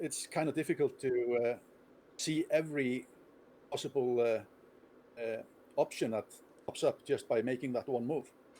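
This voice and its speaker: A man with an Icelandic accent, dark and mellow in tone, medium in pitch, with fairly even intonation, a fairly slow pace and long, frequent pauses. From Iceland, Reykjavik. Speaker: chess player and streamer. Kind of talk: interview.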